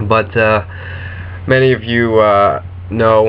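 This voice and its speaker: Noticeable background noise is present. A man talks with fairly even intonation. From US, New Jersey. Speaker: football vlogger. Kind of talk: casual vlog monologue. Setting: webcam recording. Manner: hesitant, many fillers.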